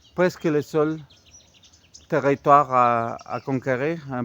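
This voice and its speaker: A man with a non-native accent and a fairly high pitch. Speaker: amateur history youtuber. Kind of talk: casual monologue. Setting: outdoors, walking. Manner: halting, many hesitations.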